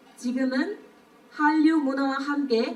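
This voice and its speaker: A woman with a Burmese accent speaks at a high pitch and a very slow pace. Audible room echo and noticeable background noise fill the recording. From Myanmar. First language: Burmese (speaking Korean). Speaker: speech contest participant. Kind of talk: speech contest oration. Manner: formal.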